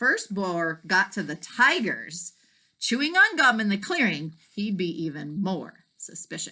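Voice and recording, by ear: The background is quiet. The text is read aloud in a natural voice.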